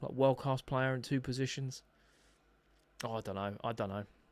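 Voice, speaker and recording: Speaking at a medium pitch, a man has a slight Essex accent. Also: long, frequent pauses, very clean recording, silent background. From England, Essex. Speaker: football fan streamer. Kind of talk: live football watch-along commentary reading chat. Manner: casual, animated.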